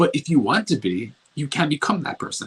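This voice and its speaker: Mumbling with vocal fry, a man speaks at a fairly high pitch. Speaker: self-improvement coach. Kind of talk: motivational talk. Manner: slurs word endings.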